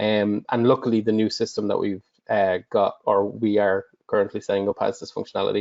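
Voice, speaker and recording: Words come at a fairly quick clip. They're delivered with an Irish accent. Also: man. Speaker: customer support director. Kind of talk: webinar Q&A.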